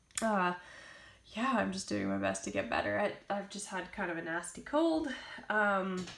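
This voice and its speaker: Audible room echo carries a woman's voice at a moderate pace. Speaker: vlogger. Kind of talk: tutorial. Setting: at home. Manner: casual, hesitant.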